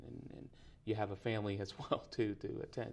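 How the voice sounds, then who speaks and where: The pace holds moderate. A Spanish accent colors the speech. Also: man. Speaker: preaching student. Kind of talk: interview. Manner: halting, many fillers and repetitions.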